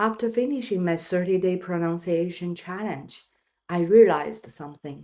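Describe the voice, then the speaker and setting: A woman speaks at a moderate pace with a non-native accent. Her voice is fairly low, with a dark, mellow tone. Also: ordinary pitch variation. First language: not English. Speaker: English learner vlogger. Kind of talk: personal vlog narration.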